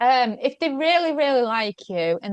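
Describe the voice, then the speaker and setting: A woman talks at a moderate pace with a Yorkshire accent. The sound is dry and close with no echo, over a quiet background. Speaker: food blogger and media guest expert. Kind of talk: podcast interview.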